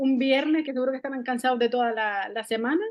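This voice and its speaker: The speaker is a woman whose pitch is high. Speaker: school counselor. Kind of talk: online talk. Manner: fast; animated.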